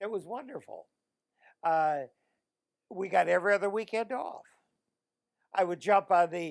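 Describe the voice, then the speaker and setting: A man with a Midwestern US accent, high in pitch, at a moderate pace with long, frequent pauses. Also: ordinary pitch variation. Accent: US Midwest. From Illinois, Joliet. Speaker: war veteran. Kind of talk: oral history interview. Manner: halting.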